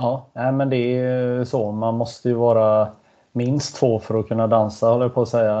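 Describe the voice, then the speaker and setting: His delivery is monotone and flat. The man keeps a medium pitch and a moderate pace. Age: 50s. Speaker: sports podcast host. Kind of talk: casual interview chat.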